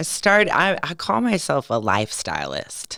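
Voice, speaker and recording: A woman with an American accent speaks at a fairly slow pace in a fairly low, bright, sharp voice with vocal fry. Her animated tone carries very wide pitch swings. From California. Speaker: lifestyle coach. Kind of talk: podcast interview.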